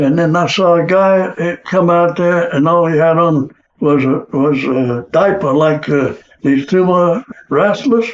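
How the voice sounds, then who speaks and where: This man talks at a high pitch with ordinary pitch variation and an American accent. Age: 80s+. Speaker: war veteran. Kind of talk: interview answer.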